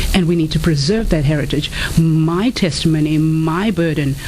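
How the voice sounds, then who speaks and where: Over noticeable background noise and audible room echo, a woman with an African accent speaks at a fairly quick pace in a very deep, low voice with ordinary pitch variation. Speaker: author and inspirational speaker. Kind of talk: radio interview.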